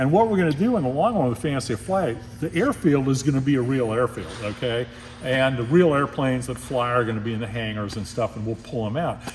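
A man talks at a very fast pace with ordinary pitch variation. Music sits in the background. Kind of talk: interview answer. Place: hall.

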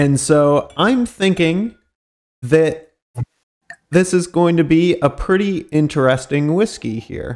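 With long, frequent pauses, a man with a high pitch speaks at a very slow pace, his pitch moving in an ordinary way. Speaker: podcast co-host. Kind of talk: casual chat.

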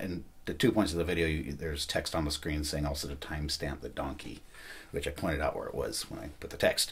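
The voice is somewhat breathy and moves at a fairly quick pace. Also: man. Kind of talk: casual vlog chat. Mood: relaxed, a bit self-mocking. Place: home room. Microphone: camera far.

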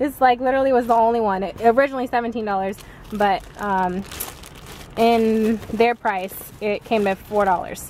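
A woman's voice comes through dry, with no echo, over light background noise. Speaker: mom vlogger. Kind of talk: casual vlog chat. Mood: excited, chatty. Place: car. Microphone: phone near.

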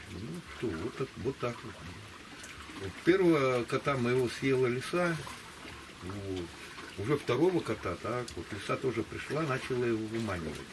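A man at a moderate pace, with lively intonation, long, frequent pauses and noticeable background noise. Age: 60s. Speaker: interview subject. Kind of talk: casual chat. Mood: calm reflective storytelling. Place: waterside. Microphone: camera far.

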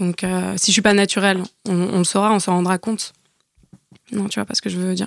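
A woman speaks at a fairly quick pace in a monotone, flat intonation. Long pauses come often. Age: 30s. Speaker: podcast guest sharing dating experiences. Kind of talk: casual chat.

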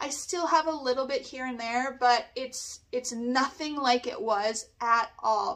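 A woman speaks at a high pitch with hardly any pauses. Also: ordinary pitch variation, fairly slow pace. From Canada. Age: 40s. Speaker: nail technician; beauty product reviewer. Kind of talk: product review. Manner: animated. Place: home room.

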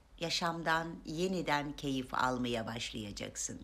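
With vocal fry and audible room echo, a woman talks at a very slow pace. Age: 50s. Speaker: self-help video maker. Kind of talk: motivational talk to camera.

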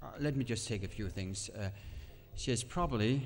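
A man with a Danish accent speaks at a medium pitch with ordinary pitch variation. Music plays in the background. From Denmark. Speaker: pastor and Bible teacher. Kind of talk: sermon; casual interview. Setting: church camp stage with audience.

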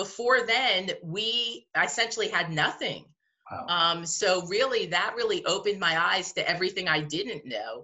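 The speech has an American accent and a moderate pace. The background is quiet. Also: woman, medium pitch for a woman, lively intonation. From US Northeast, New Jersey. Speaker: museum director. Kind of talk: interview. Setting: video call. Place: home room. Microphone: webcam.

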